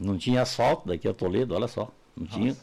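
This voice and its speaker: Vocal fry marks this man's voice, which shows ordinary pitch variation. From Santa Catarina, Brazil. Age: 70s. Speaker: entrepreneur and university founder. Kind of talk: interview.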